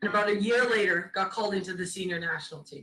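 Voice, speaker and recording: At a medium pitch, a woman talks at a fairly quick pace. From Caribbean, then British Columbia, Canada. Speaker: former national team goalkeeper, keynote speaker. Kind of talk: keynote speech. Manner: loud.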